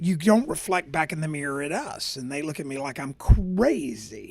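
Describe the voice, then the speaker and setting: A man talks at a fairly high pitch and a fairly slow pace. His intonation is lively. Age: 60s. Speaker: podcast host. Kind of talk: casual monologue. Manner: animated; halting with fillers.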